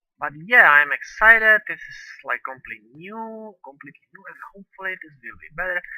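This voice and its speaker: The speaker has a non-native accent and talks at a fairly quick pace. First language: not English. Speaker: gaming video creator. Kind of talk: let's play commentary. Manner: halting.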